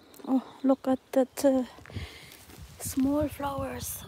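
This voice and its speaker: The speaker is soft-spoken, and the sound is dry and close with no echo. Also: woman, long, frequent pauses. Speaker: nature live streamer. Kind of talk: live stream nature walk chat. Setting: outdoors in a forest.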